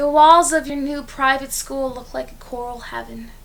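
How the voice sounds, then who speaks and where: Here a woman speaks with a high pitch. Her pace is moderate. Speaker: poet. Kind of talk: spoken word poetry performance.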